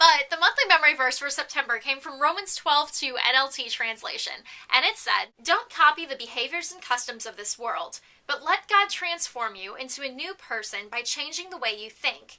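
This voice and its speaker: A woman with a high pitch speaks in a raised, projected voice with a bright, sharp tone and hardly any pauses. Her intonation is lively, her loudness swings widely, and her pace is moderate. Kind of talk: casual vlog monologue. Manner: animated.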